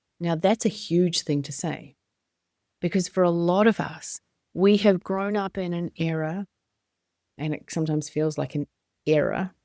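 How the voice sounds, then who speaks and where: A woman with a New Zealand accent speaks at a fairly low pitch in a dark, mellow tone, with fairly even intonation and long, frequent pauses. The recording is very clean with a silent background and a dry, close sound with no echo. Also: moderate pace. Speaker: business coach and podcast host. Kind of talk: motivational podcast monologue.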